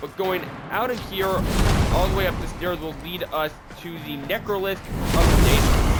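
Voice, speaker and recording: Music in the background under speech with ordinary pitch variation. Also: man. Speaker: gaming video creator. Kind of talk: gameplay tutorial. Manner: casual.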